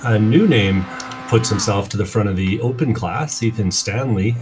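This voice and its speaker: A man's fairly low voice with a strong Canadian accent, moderate pace and ordinary pitch variation, over music in the background. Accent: thick rural Canadian. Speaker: sim racing commentator. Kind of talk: live commentary.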